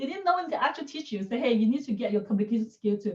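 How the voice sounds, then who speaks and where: Her voice is somewhat breathy, a woman's with a fairly high pitch. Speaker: public speaking coach. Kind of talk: webinar presentation. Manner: fast.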